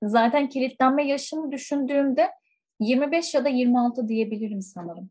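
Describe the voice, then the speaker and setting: Moderately paced speech from a high-pitched woman, with ordinary variation in pitch. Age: 20s. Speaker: school counselor. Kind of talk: casual chat.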